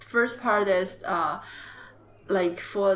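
A woman's medium-pitched voice with a Chinese accent and ordinary pitch variation. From China, Jiangxi province. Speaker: MBA student. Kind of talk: interview. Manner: halting.

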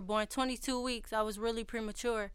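A woman talks with monotone, flat intonation. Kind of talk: spoken word poetry. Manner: rhythmic, rapid, emotionally raw delivery.

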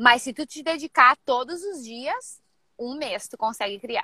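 A raised, projected voice with a bright, sharp tone, fairly slow delivery, and a dry, close sound with no echo. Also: woman. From Rio Grande do Sul, Brazil. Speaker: personal trainer. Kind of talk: live mentoring session. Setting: in a car.

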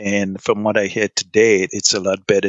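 Speaking at a moderate pace, a man has a fairly low-pitched voice. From Trinidad. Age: 60s. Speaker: immigrant parent and retiree. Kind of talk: interview. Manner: halting.

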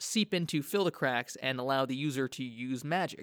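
His intonation rises and falls in a lively way. This man keeps a moderate pace. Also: very clean recording, silent background. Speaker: podcast host. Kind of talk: scripted-style podcast explainer. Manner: hesitant, filler words; casual.

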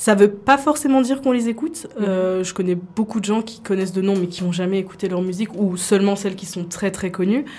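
Amid noticeable background noise, a woman speaks at a fairly quick pace and a medium pitch with ordinary pitch variation. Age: 20s. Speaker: university student and K-pop dancer. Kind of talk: radio interview.

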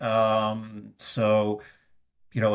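Recorded very cleanly over a silent background, a man with a Swedish accent speaks at a fairly low pitch. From Sweden. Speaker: technology executive. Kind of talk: interview conversation. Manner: halting, many filler words.

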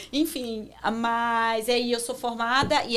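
With a Rio de Janeiro accent, a woman speaks at a fairly high pitch in a bright, sharp tone. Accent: Carioca Brazilian Portuguese. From Brazil, Rio de Janeiro. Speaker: marketing professional. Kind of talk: interview.

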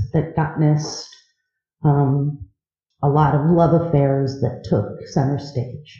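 A woman speaks at a very slow pace. Her voice is somewhat breathy, with a dark, mellow tone. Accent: American. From US Midwest, east side of Cleveland, Ohio. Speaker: podcaster sharing recovery story. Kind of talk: recovery meeting talk. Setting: live audience at convention.

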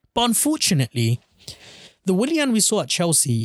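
A somewhat breathy voice at a fairly quick pace, in a very clean recording with a silent background and a dry, close sound with no echo. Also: man. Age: 20s. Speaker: football podcast host. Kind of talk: solo post-match reaction podcast.

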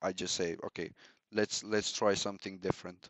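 This man has a Romanian accent and a fairly low pitch, speaking at a moderate pace. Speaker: customer success manager. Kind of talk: casual interview. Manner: hesitant, many fillers.

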